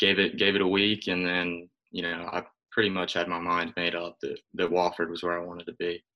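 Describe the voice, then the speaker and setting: This man has an American accent and a very deep, low pitch. He talks at a moderate pace with monotone, flat intonation. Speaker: college baseball pitcher. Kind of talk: interview.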